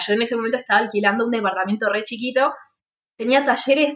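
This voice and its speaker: High-pitched, a woman speaks with ordinary pitch variation. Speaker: podcast host, freelance art teacher. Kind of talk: casual chat.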